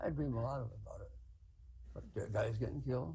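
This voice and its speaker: Room echo can be heard as a man talks fairly quickly. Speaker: war veteran. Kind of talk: testimony. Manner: halting.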